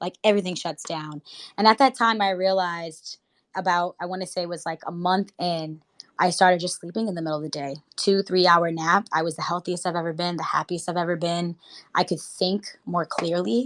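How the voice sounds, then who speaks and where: A woman's fairly low voice with an American accent, fairly quick pace, and a dry, close sound free of echo. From Boston, Massachusetts (Jamaica Plain, Roxbury, South End). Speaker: actress and producer. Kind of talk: casual interview chat. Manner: animated.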